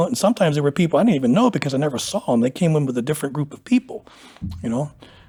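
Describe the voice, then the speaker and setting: A man with an American accent talks at a very fast pace. His voice is fairly high and somewhat breathy. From Pennsylvania, US. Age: 60s. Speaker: powerlifter. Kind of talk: interview. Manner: casual, conversational.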